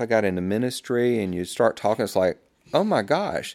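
The recording is very clean, with a silent background. A man with a Southern US accent speaks at a moderate pace. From US South. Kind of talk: testimony.

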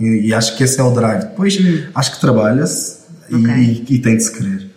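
Audible room echo and noticeable background noise around a man speaking at a fairly quick pace. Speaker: marketing and advertising student turned creative. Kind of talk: casual interview chat.

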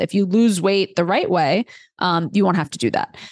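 A woman with an American accent speaks at a medium pitch with ordinary pitch variation in a plain, everyday voice, the sound dry and close with no echo. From New York City, Queens. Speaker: dietitian. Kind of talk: podcast interview.

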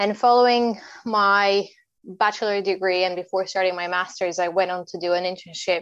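At a medium pitch, a woman speaks in a flat monotone at a moderate pace. The background is quiet. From Bulgaria. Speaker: consulting manager. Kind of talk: interview.

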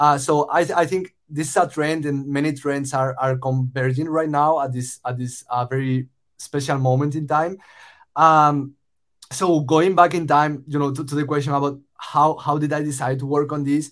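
A man with a Spanish accent speaks at a moderate pace and a fairly high pitch. His intonation is monotone and flat, in a very clean recording with a silent background. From Spain. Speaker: startup founder. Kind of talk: casual interview conversation.

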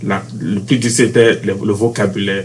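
This man's voice sits fairly low, and his intonation is lively. There is noticeable background noise behind him. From Benin, Cotonou. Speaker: university student, basketball player. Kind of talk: interview. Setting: university campus.

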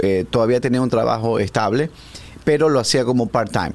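A man with a medium pitch speaks at a moderate pace with ordinary pitch variation in a normal speaking voice. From Ecuador, Guayaquil. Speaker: real estate agent. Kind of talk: interview.

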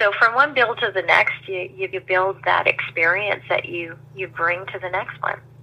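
Amid noticeable background noise, a woman speaks at a moderate pace with hardly any pauses, her medium-pitched voice showing ordinary pitch variation and big swings in loudness. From New Brunswick, Canada (Saint John). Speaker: sales trainer and business owner. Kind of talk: interview.

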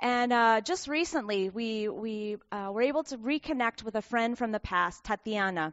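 In a normal speaking voice with a General American accent, a woman talks at a fairly high pitch and moderate pace with ordinary pitch variation and hardly any pauses. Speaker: missionary. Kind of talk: church mission presentation. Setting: church.

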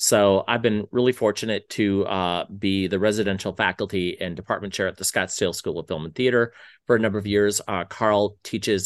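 A man's fairly low voice at a fairly quick pace against a quiet background. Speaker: screenwriter and screenwriting professor, podcast host. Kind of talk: casual chat. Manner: animated.

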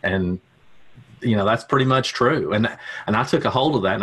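Here a man talks with a Tennessee accent. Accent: Southern US, Tennessee. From Tennessee, US South. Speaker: media buyer. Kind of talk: casual interview.

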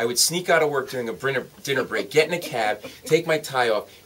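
A man with an American accent, animated in tone and fairly quick, with ordinary pitch variation, over noticeable background noise. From US Northeast, Providence, Rhode Island. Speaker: comedian. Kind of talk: interview with stand-up style storytelling. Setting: radio studio.

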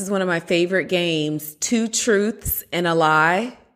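A woman's normal speaking voice at medium pitch, with lively intonation and a fairly slow pace, on a very clean recording with a silent background. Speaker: speech language pathologist and neuroscientist, co-host. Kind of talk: casual chat, podcast conversation.

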